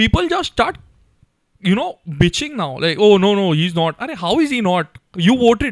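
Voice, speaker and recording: The recording is dry and close with no echo, carrying a man's high voice at a fairly quick pace. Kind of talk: casual chat.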